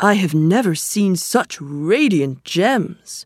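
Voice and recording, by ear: Using a put-on character voice, a woman speaks slowly in a fairly low pitch with lively intonation and a slightly husky edge, on a very clean recording with a silent background.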